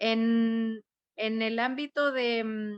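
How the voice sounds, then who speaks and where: This woman's voice sits at a fairly high pitch. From Chile, rural Santiago. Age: 30s. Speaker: constitutional convention delegate and schoolteacher. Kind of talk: panel presentation. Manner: hesitant, many fillers.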